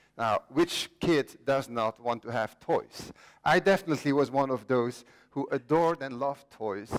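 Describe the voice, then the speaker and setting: With a Flemish accent, a man speaks at a moderate pace and a fairly high pitch. His pitch variation is ordinary, in a dry, close sound with no echo. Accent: Belgian (Flemish) English. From Belgium. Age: 50s. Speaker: inventor. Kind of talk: conference talk. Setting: stage with audience.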